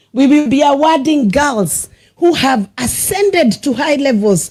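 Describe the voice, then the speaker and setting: A woman with a Kenyan accent speaks with very wide pitch swings. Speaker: senator. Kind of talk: motivational speech. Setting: school prize-giving ceremony with audience. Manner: exhortative.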